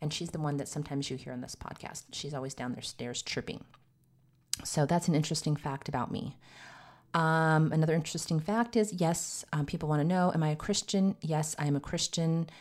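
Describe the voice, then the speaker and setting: With an American accent, a woman speaks in a very deep, low pitch with ordinary pitch variation at a fairly quick pace. The recording is very clean, with a silent background. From US Southwest, Arizona. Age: 50s. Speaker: podcast host and nurse practitioner. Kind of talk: casual monologue.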